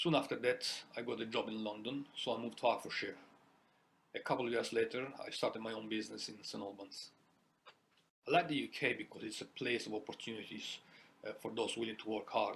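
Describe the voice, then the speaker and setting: A man with an Italian accent speaks very fast, broken by long, frequent pauses. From Italy. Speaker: small business owner. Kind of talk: personal testimony.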